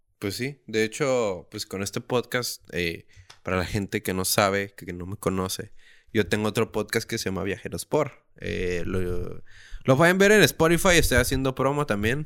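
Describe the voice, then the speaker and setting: On a very clean recording with a silent background, a plain, everyday voice moves at a fairly slow pace with lively intonation. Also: man, fairly low pitch for a man. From Mexico, Tijuana. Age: 20s. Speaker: podcast host. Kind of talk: casual chat. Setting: home.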